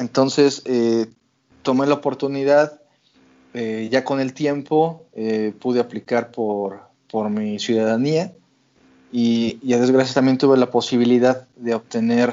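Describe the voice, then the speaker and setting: At a fairly slow pace, a man with a medium pitch and fairly even intonation talks with long, frequent pauses. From Mexico City. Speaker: visual effects technical director. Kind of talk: interview. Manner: halting, many repetitions.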